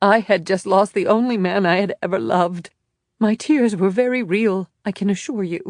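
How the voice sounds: A shaky, female-sounding put-on character voice at medium pitch and a moderate pace.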